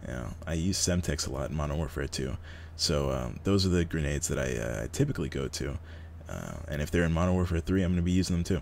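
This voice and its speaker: Very deep and low, a man's voice rushes at a very fast pace with vocal fry and ordinary pitch variation. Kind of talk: gaming tutorial commentary; casual talk to camera. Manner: whispering, quiet.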